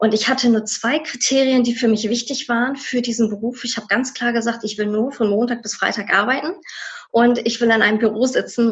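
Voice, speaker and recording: Delivered at a fairly quick pace with fairly even intonation, it is a plain, everyday voice. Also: woman. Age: 30s. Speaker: former tax clerk. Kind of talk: interview.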